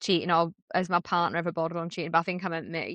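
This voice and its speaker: A woman with a northern English accent speaks at a very fast pace in a bright, sharp tone, with a dry, close sound with no echo. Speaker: podcast co-host. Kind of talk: casual chat. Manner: loud; animated.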